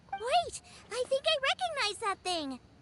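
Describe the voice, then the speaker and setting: An extremely high, squeaky, put-on character voice runs at a moderate pace. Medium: video game. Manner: bright, lively.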